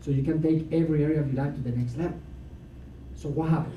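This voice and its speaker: At a very fast pace, a man with a fairly high pitch speaks amid audible room echo. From Latin America. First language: Spanish. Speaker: motivational speaker. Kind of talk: seminar talk. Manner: animated.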